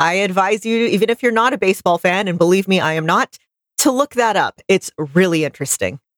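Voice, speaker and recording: Fairly quick and lively in intonation, a woman speaks with an American accent at a medium pitch. The sound is dry and close with no echo. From US South. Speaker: podcast co-host. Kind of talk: casual chat. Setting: studio, livestreamed.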